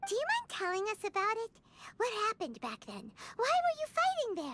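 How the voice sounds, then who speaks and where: Squeaky, cartoonish character voice at an extremely high pitch and a fairly quick pace. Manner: bright, talkative.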